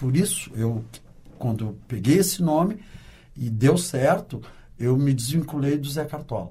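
This man's voice is fairly high, somewhat breathy and dark and mellow in tone. He speaks at a fairly slow pace. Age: 60s. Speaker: carnival dancer and sound technician. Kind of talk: interview. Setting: studio.

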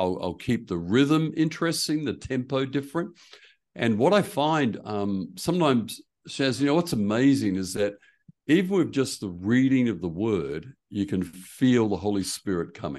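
Against a quiet background, a man with an Australian accent talks at a medium pitch. His pace is moderate, with very wide pitch swings. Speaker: preaching coach and church consultant. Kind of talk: casual interview.

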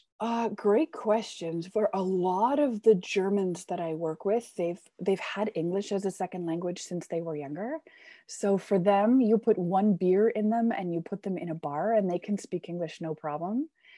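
A woman speaks at medium pitch with a Canadian accent, at a moderate pace with hardly any pauses. Her tone is dark and mellow with ordinary pitch variation, and the sound is dry and close with no echo over a quiet background. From Canada. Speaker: business English teacher. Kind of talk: casual interview.

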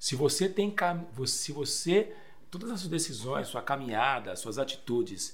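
A man talks fairly slowly in a somewhat breathy voice, his intonation lively. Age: 40s. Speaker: pastor. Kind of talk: casual chat.

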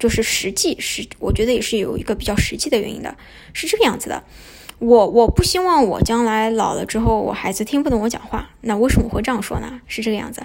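A woman talks at a very fast pace in a fairly high voice, her loudness swinging widely. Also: ordinary pitch variation. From Shanghai, China. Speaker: podcast host. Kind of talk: casual monologue. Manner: hesitant, many fillers.

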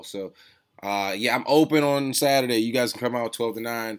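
In an American accent, an unremarkable speaking voice goes at a fairly quick clip with ordinary pitch variation. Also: man. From Washington DC. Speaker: podcast host, sneaker reseller. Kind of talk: casual chat.

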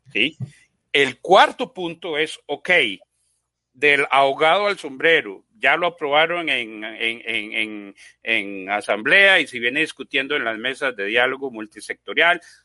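A man with a fairly high pitch talks at a fairly slow pace, his intonation lively. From Costa Rica. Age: 50s. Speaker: software engineer and business owner. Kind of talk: panel discussion. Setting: live online broadcast. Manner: animated.

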